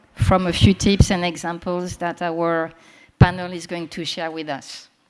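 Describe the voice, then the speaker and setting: A woman with a French accent, medium pitch and a fairly slow pace. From France. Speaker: panel moderator, communications professional. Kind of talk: moderating a conference panel. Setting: conference room with live audience.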